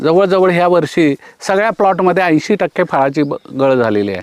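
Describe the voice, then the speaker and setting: Dry and close with no echo, the man's voice shows ordinary pitch variation. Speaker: retired agriculture officer, organic farming trainer. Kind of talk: on-farm explanation interview.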